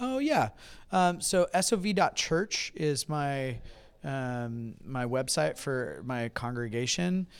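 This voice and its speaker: A man's fairly high voice at a very slow pace, lively in intonation, on a very clean recording with a silent background. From California. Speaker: pastor. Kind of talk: interview. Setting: convention.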